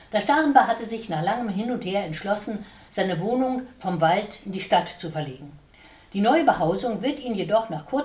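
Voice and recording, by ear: With lively intonation, the voice is reading aloud in a natural way.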